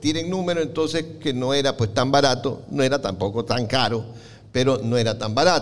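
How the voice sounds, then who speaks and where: At a moderate pace, a man speaks at medium pitch with ordinary pitch variation in an unremarkable speaking voice. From Ecuador, Guayaquil. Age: 60s. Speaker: comic collector. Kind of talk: talk to live audience.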